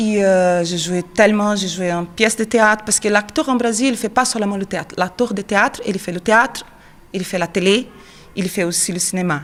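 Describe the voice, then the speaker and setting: A woman with a Portuguese accent, medium pitch, ordinary pitch variation and a moderate pace. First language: Portuguese (speaking French). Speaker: actress and children's theatre teacher. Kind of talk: interview. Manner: hesitant.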